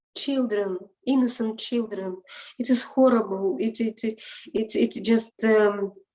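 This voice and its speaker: A woman talks at a fairly slow pace with a non-native accent. Her pitch is fairly high. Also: ordinary pitch variation. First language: not English. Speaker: interviewee, parent in custody dispute. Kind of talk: interview. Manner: halting, many repetitions.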